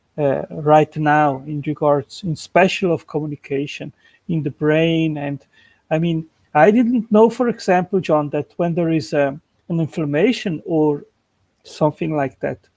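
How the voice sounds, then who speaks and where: A man with a fairly high voice and a non-native accent speaks against a quiet background. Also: ordinary pitch variation, fairly slow pace. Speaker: creationist channel host. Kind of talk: casual chat. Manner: halting.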